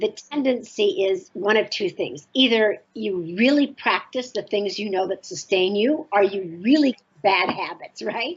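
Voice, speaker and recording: In an unremarkable speaking voice, a woman talks at a fairly slow pace and medium pitch with lively intonation. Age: 60s. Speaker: author and spiritual teacher. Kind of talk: interview.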